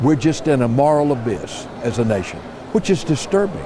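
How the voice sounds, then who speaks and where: Against noticeable background noise, a man of medium pitch talks at a moderate pace. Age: 70s. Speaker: pastor. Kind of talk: interview. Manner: halting.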